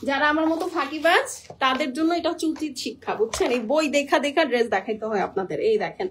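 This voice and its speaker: A loud, animated woman's voice, high-pitched, over noticeable background noise. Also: lively intonation. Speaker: online clothing seller. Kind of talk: live sales pitch.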